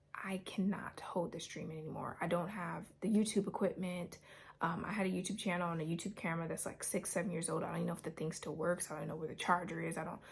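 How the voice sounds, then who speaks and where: Quiet and fairly low-pitched, a woman speaks at a very fast pace with hardly any pauses. Her intonation is monotone and flat, with vocal fry. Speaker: YouTuber sharing a religious dream. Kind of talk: personal testimony to camera. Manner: quiet, holding voice down; halting, with repetitions and fillers.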